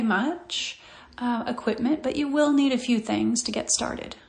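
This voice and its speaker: Calm in tone, a woman speaks at a fairly slow pace with a high pitch and ordinary pitch variation. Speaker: physical therapist. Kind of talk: guided meditation. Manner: slow, calm.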